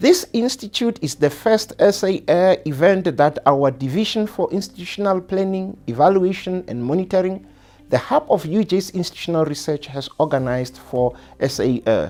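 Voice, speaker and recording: The speaker talks at a moderate pace with a Botswana accent. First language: Setswana. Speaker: university executive. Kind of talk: welcome address. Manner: formal.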